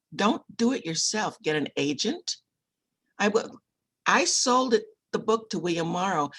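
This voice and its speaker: With vocal fry and very wide pitch swings, a woman talks at a fairly slow pace, leaving long, frequent pauses. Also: fairly high pitch for a woman. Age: 70s. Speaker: author and book publisher. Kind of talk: interview. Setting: video call.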